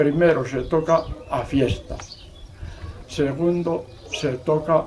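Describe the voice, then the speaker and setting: At a very slow pace, a man speaks in a fairly high voice with fairly even intonation. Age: 80s+. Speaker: village bell ringer. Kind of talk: casual explanation.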